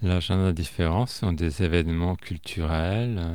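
A man's very deep, low voice at a very slow pace, on a very clean recording with a silent background. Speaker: radio columnist. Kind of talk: interview.

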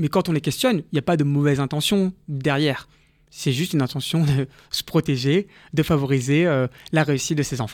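A man with an unremarkable speaking voice talks at a fairly high pitch and fairly quick pace with ordinary pitch variation. The recording is very clean with a silent background and a dry, close sound with no echo. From Paris, France. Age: 30s. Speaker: entrepreneur and social justice activist. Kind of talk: radio interview. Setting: studio.

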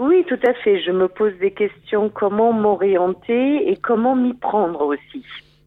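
A woman speaks very slowly with lively intonation and hardly any pauses. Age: 50s. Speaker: marketing manager seeking career change. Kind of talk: coaching session. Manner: halting.

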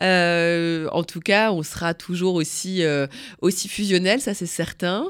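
In a very clean recording with a silent background, a woman of fairly low pitch speaks at a fairly slow pace with fairly even intonation. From northern France, Picardy. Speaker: veterinarian and journalist. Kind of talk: interview testimony. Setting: studio.

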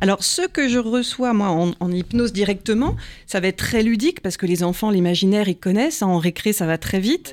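An unremarkable speaking voice with lively intonation and very even loudness moves at a fairly quick pace in a very clean recording with a silent background. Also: woman, medium pitch for a woman. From Paris, France. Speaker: hypnotherapist and psychoanalyst. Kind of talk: interview.

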